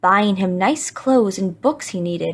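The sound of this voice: Just an unforced reading voice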